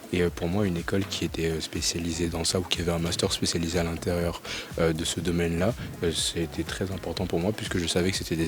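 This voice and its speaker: Against noticeable background noise, a man with a very deep, low pitch talks at a very fast pace in a monotone, flat intonation. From Paris region, France. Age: 20s. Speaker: business school student. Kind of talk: interview. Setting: school library. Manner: halting, many fillers.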